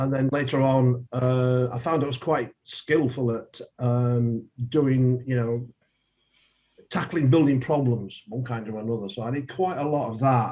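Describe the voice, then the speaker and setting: A man speaks with a Yorkshire accent. His pace is fairly slow. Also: medium pitch for a man, fairly even intonation. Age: 70s. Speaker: politician. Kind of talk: interview.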